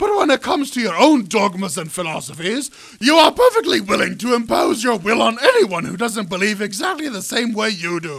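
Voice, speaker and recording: A man's put-on character voice, high-pitched, at a fairly quick pace with hardly any pauses. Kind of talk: comic machinima voice acting. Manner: indignant, theatrical, scheming.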